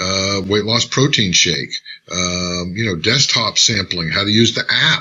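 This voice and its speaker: A man talks with a fairly low pitch and ordinary pitch variation. Noticeable background noise is present. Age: 60s. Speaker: network marketing trainer. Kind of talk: live tutorial. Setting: live stream. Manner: casual, upbeat.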